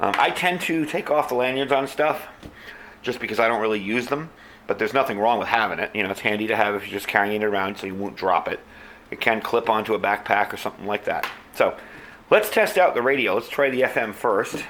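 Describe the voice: Audible room echo surrounds a man speaking at a fairly quick pace, his pitch fairly low with ordinary variation and a fairly bright tone.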